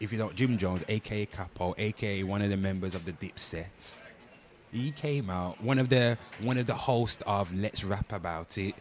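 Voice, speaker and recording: Here a man speaks with a British accent at a moderate pace. His fairly low voice shows ordinary pitch variation. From Britain. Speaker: livestreamer, pop culture commentator. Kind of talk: live stream chat. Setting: livestream. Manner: animated.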